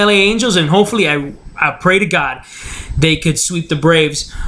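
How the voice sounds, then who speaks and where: A man speaks in a raised, projected voice at a fairly quick pace. There is noticeable background noise. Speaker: sports commentary show host. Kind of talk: solo sports talk show commentary. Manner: monotone.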